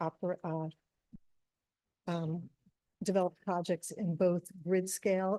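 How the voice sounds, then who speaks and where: Soft-spoken with a dark, mellow tone, the speaker keeps a moderate pace. Long, frequent pauses come through a dry, close sound with no echo. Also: woman. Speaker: renewable energy developer. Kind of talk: public meeting presentation. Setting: town board meeting.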